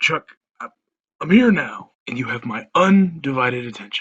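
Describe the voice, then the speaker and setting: Putting on a raspy character voice, a man speaks at a fairly high pitch and a moderate pace, his pitch swinging very widely. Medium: audio drama. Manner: warm, fatherly.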